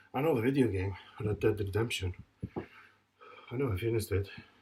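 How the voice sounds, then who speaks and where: A man speaks at a moderate pace and medium pitch, his tone dark, mellow and somewhat breathy. His pitch varies in an ordinary way, and he leaves long, frequent pauses. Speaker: fitness vlogger recovering from a stroke. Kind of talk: casual workout vlog talk. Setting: home gym. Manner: halting.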